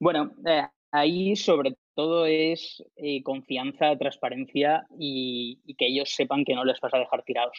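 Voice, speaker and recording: This man has a plain, everyday voice at a fairly high pitch. He goes at a fairly slow pace with hardly any pauses. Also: ordinary pitch variation. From Alicante, Spain. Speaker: startup founder. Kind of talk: interview.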